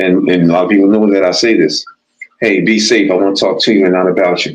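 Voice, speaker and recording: A man with an ordinary speaking voice talks at a fairly quick pace and a fairly low pitch. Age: 60s. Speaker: DJ and former boxer, cancer survivor. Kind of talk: casual interview chat.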